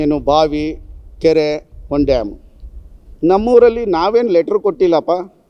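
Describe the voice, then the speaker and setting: The voice belongs to a man and is high in pitch. He uses lively intonation. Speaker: local journalist and social worker. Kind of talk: press statement rebuttal.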